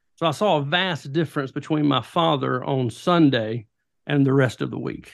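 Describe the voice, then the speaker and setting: A man with a Southern US accent speaks in a fairly high voice, his pitch rising and falling in an ordinary way. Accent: Southern US (Georgia). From US South, rural southwest Georgia. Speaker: pastor and author. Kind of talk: interview, personal testimony and teaching. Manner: animated.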